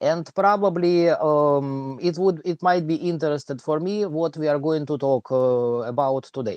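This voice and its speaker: The speaker talks at a fairly slow pace with a strong Russian accent. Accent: thick Russian. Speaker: livestream host and math teacher. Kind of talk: casual livestream chat. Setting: online livestream. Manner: halting with many fillers.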